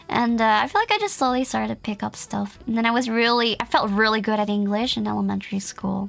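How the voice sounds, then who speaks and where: A woman with a Dutch accent speaks at a very fast pace with hardly any pauses. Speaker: vtuber streamer. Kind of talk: casual chat.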